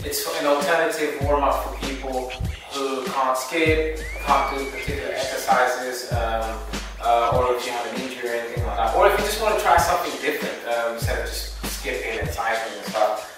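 Clear music plays in the background as a man speaks at a fairly quick pace with strong room echo. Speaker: boxing coach. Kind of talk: tutorial. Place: gym. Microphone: camera far.

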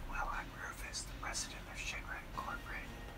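Someone whispers at a fairly quick pace over loud background noise. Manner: whispered villain's self-introduction.

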